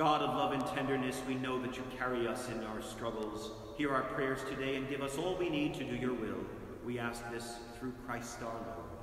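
Strong room echo surrounds a man who talks at a moderate pace with fairly even intonation. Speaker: priest. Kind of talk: fervent intercessory prayer, solemn and earnest, read in a steady liturgical cadence. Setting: church, live-streamed Mass, during pandemic. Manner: solemn, measured, reverent; earnest, pleading tone with a rhythmic call-and-response. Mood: calm, solemn. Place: church. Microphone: camera far.

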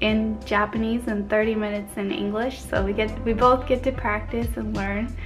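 Clear background music beneath a woman's moderately paced speech. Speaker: language learning vlogger. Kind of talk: casual vlog chat. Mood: cheerful and friendly. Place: home room. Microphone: phone near.

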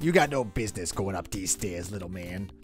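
Growling in a put-on character voice, a man speaks very deep and low at a fairly quick pace over clear music in the background. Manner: menacing.

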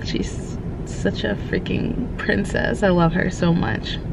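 Noticeable background noise runs under a woman's voice, which sounds dry with no echo. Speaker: vlogger. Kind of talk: casual vlog chat. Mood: cheerful, affectionate. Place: car. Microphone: phone near.

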